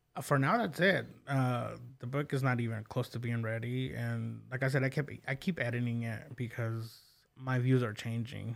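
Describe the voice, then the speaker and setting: With an American accent and medium pitch, a man speaks in a plain, everyday voice at a moderate pace with fairly even intonation, on a very clean recording with a silent background. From Oklahoma, US. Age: 30s. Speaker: podcast host. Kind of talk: casual interview. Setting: studio.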